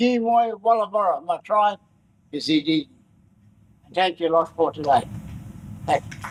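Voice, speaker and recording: At a moderate pace, a man speaks in a high pitch with ordinary pitch variation, big swings in loudness, and long, frequent pauses. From Far North Queensland, Australia. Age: 70s. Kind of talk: welcome to country speech. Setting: forum with live audience.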